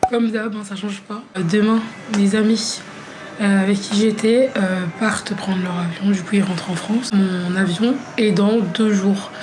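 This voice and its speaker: A woman talks at a fairly slow pace with medium pitch and fairly even intonation. The recording has audible room echo and noticeable background noise. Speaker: vlogger, graphic designer. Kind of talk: travel vlog, casual talk to camera. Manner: casual, many fillers.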